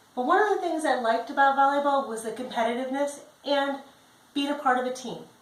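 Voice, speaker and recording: A woman with an American accent talks at a fairly quick pace in a high pitch with ordinary pitch variation. Audible room echo surrounds her voice. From Chicago, US Midwest. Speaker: job applicant; presenter. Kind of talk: self-introduction video. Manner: direct. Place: home room. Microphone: camera far.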